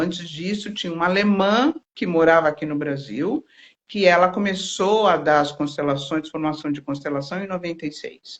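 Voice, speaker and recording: A woman speaks at a moderate pace with a fairly low pitch and ordinary pitch variation. She has an ordinary speaking voice. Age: 60s. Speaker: therapist. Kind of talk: interview.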